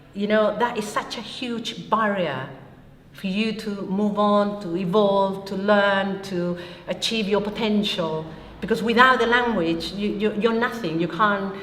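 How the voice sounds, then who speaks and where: A woman's fairly even intonation amid audible room echo and noticeable background noise. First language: Spanish. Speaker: Chilean refugee. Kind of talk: interview testimony.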